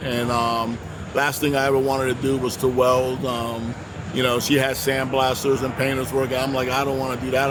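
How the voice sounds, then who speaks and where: Over noticeable background noise and audible room echo, a man speaks at a medium pitch with flat, monotone intonation. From Puerto Rico and mainland US. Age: 60s. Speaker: welding instructor. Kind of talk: interview. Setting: trade show booth. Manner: halting.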